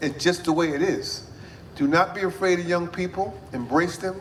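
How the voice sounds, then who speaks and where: A man at a high pitch and moderate pace, with ordinary pitch variation and noticeable background noise. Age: 60s. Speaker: mayor. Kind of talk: public speech. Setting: event with audience.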